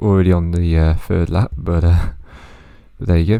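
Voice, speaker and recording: At a moderate pace, a man speaks quietly in a very deep, low voice with a dark, mellow tone and ordinary pitch variation. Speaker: gaming youtuber. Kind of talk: gameplay commentary.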